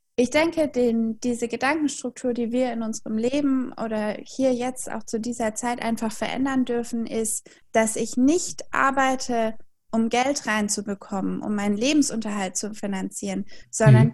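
A woman with a plain, everyday voice and a fairly high pitch talks at a moderate pace with ordinary pitch variation. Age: 20s. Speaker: German tutor and philosophical counselor. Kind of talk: interview.

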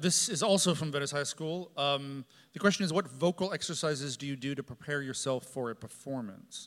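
An unremarkable speaking voice from a man at a fairly quick pace with hardly any pauses. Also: fairly high pitch for a man, ordinary pitch variation. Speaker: opera company executive. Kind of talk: interview in front of a live audience. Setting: stage with audience.

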